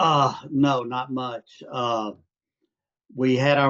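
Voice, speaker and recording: In an Arkansas accent, a man of medium pitch speaks with monotone, flat intonation, the sound dry and close with no echo. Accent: Southern US accent (Arkansas). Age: 70s. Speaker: retired private investor, client. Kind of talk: casual interview. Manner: hesitant, many fillers.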